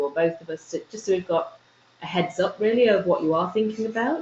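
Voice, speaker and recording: Fairly even intonation from a woman, with noticeable background noise behind her. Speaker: university lecturer. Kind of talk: lecture. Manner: soft-spoken. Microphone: too quiet for remote listeners.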